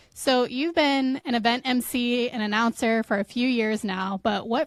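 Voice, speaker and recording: Here is a woman with a plain, everyday voice and a fairly high pitch. She talks at a fairly slow pace with ordinary pitch variation. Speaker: podcast host. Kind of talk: podcast host intro and interview questions.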